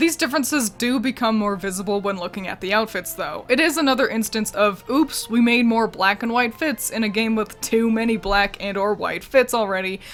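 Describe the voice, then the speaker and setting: A fairly quick pace with hardly any pauses, music in the background. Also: woman. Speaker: video game commentary youtuber. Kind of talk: scripted video commentary. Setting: at home with roommate nearby. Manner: quiet, trying not to disturb.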